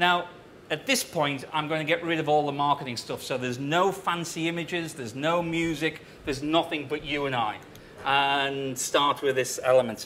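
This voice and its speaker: With a British accent, a man speaks at a moderate pace, his fairly high pitch moving in a fairly even line. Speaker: tech company CEO giving conference talk. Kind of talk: conference presentation. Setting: stage with audience. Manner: loud.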